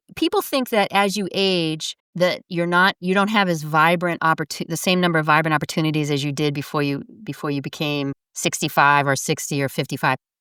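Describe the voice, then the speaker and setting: A woman's fairly low, bright, sharp voice at a fairly quick pace with hardly any pauses, ordinary pitch variation, and a dry, close sound with no echo. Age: 60s. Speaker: aging specialist. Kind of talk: interview.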